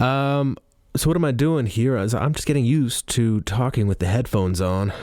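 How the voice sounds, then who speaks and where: The speaker's intonation is lively. Noticeable background noise can be heard. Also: man. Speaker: podcaster and audiobook narrator. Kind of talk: casual monologue. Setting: studio.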